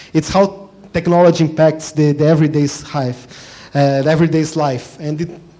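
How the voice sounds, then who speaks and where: A fairly high-pitched man talking at a fairly quick pace in a monotone, flat way, with audible room echo. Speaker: diplomat giving a guest talk. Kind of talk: lecture. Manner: fast.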